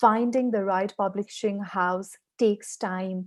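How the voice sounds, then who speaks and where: A woman with a Nepali accent speaks at a medium pitch and a fairly slow pace. The background is quiet. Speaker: author. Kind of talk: webinar presentation. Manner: halting, many fillers.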